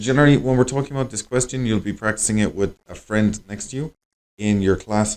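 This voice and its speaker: A man with a fairly low voice speaks at a very fast pace. His pitch varies in an ordinary way. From Ireland. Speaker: English teacher and language school director. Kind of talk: conversation practice monologue for learners. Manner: casual, conversational with many fillers.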